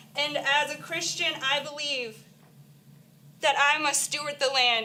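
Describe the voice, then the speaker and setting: At a moderate pace, a raised, projected voice with a bright, sharp tone speaks in monotone, flat intonation amid audible room echo. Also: woman. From Florida, Miami-Dade. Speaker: nurse speaking at public comment. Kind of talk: public comment speech. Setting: county council meeting.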